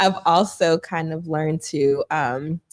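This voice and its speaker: In an American accent, a woman is heard in a dry, close sound with no echo. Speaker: financial counselor. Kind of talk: interview. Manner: soft-spoken.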